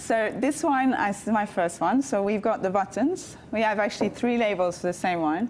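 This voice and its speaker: Over noticeable background noise, a woman talks at a moderate pace with hardly any pauses, a medium pitch, lively intonation and very even loudness. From Canada. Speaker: winemaker and wine exporter. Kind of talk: TV talk show interview.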